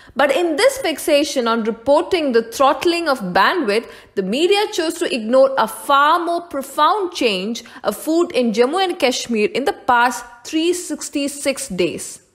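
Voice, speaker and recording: Against noticeable background noise, the speaker goes at a fairly slow pace with very wide pitch swings. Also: woman, high pitch for a woman. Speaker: channel presenter of political commentary. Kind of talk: formal news-style scripted narration. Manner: formal, steady, measured newsreader delivery; persuasive, opinionated tone.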